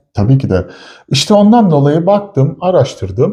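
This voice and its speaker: This man's voice has a dark, mellow tone and is somewhat breathy. He speaks at a moderate pace. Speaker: chemist / product developer, co-host. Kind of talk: casual chat.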